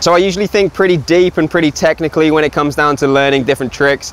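The sound is dry, with no echo. The pace is very fast. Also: man. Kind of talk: casual vlog chat, tutorial. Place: street. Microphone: lapel.

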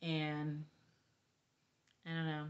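The speaker is a woman with a fairly low pitch. The background is quiet. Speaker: grandmother vlogger. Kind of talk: casual talk to camera. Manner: rambling, hesitant. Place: home room. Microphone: phone near.

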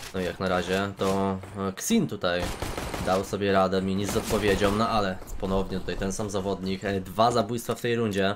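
A man with a fairly low pitch and fairly quick pace, amid noticeable background noise. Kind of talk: live esports commentary on a CS:GO match. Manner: fast, animated play-by-play, rapid-fire and excitable with casual banter; sometimes halting, self-correcting mid-sentence.

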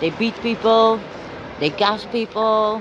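A woman talks with a Dutch accent. The sound is dry with no echo, and there is noticeable background noise. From Netherlands. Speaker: citizen journalist livestreamer. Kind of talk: live street commentary. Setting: outdoors at street protest. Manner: casual, talking while walking. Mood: indignant, critical of police. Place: street. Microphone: phone near.

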